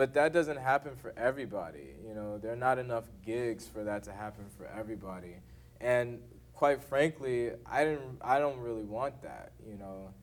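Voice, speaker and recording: A man's medium-pitched voice at a moderate pace, with ordinary pitch variation and big swings in loudness. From Texas, Houston. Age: young. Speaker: jazz saxophonist. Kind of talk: masterclass Q&A talk. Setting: university masterclass. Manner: halting, many fillers.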